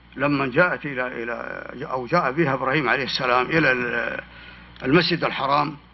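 A man speaks at a fairly high pitch and moderate pace with fairly even intonation. Background noise is noticeable. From Hejaz, Saudi Arabia (desert near Khulais). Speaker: historian and author. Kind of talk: public talk with Q&A.

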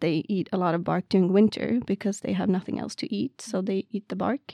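Fairly even intonation and a Swedish accent come through in a very clean recording with a silent background and a dry, close sound with no echo. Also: woman. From Sweden, Värmland. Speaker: PhD student in wildlife ecology. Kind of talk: casual interview.

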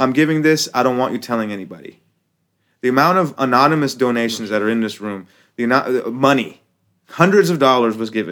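With an American accent, a man speaks in an ordinary speaking voice at a medium pitch, with lively intonation and a fairly quick pace. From United States. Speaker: rapper and activist. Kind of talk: casual chat. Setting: studio.

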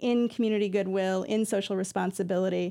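In a very clean recording against a silent background, a woman with an American accent speaks in a dark, mellow tone. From Iowa, US Midwest. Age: 40s. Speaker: nonprofit executive director. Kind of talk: radio interview.

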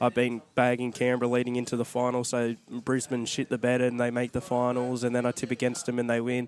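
A man with an Australian accent at a very fast pace, medium pitch and very even loudness, his intonation monotone and flat, over noticeable background noise. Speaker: rugby league podcast co-host. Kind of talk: casual chat.

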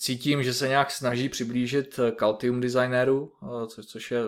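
Fairly even intonation and a moderate pace mark a normal speaking voice. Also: man. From Czech Republic, Liberec region. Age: 30s. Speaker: electronics engineer, podcast co-host. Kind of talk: casual technical chat.

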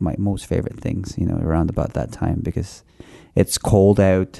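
A man talks at a moderate pace. His pitch is very deep and low, with a dark, mellow tone. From Philippines. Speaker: chef. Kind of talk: radio interview. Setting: radio studio.

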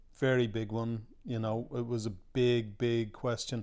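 A normal speaking voice from a man at medium pitch, fairly slow, with fairly even intonation. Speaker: film producer. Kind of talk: interview.

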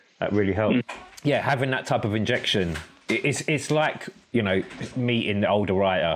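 Noticeable background noise sits behind a man speaking at a moderate pace, his fairly low pitch showing ordinary variation. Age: 40s. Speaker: podcast host and artist. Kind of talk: casual interview conversation. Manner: animated.

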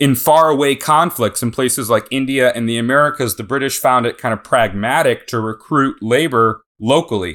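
A man with an unremarkable speaking voice and medium pitch talks at a moderate pace with ordinary pitch variation, in a very clean recording with a silent background. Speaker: historian and author. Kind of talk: interview. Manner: articulate.

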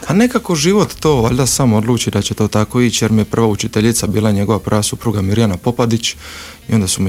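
A man at a fairly low pitch and a very fast pace, with ordinary pitch variation over noticeable background noise. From Croatia, Split (Dalmatia). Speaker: actor and theatre director. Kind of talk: interview.

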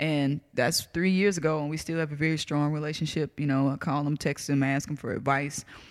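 In a very clean recording with a silent background, a woman with a Southern US accent talks at a fairly quick pace, her very deep, low pitch held in a monotone, flat intonation. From US South. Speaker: comedian. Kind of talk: casual chat.

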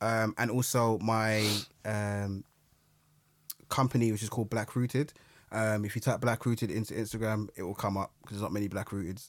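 A man with a London accent talks at a fairly quick pace with long, frequent pauses, his fairly low voice held to fairly even intonation, in a very clean recording with a silent background. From London, Brixton. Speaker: historian and youth mentor. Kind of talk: interview, personal story.

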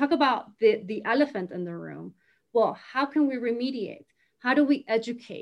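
A woman with a Latin American accent speaks at a fairly high pitch with vocal fry and ordinary pitch variation. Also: moderate pace. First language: Spanish. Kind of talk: casual chat. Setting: recorded video conversation. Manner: animated.

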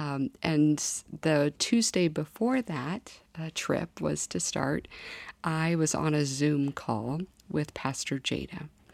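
Very slowly and with lively intonation, a woman with a Midwestern US accent speaks at a very deep, low pitch on a very clean recording with a silent background. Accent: US Midwest. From Kansas. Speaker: former government staffer, church member. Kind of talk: interview testimony.

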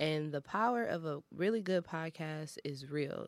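A woman with a very deep, low pitch, an American accent and ordinary pitch variation, in a very clean recording with a silent background. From Detroit. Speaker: college radio podcast host. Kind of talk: casual chat. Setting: studio.

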